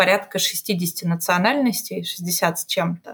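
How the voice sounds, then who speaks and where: With ordinary pitch variation and a somewhat breathy quality, the speaker proceeds at a fairly slow pace. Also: woman. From Russia, Omsk. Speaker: strategy director. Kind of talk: casual interview chat.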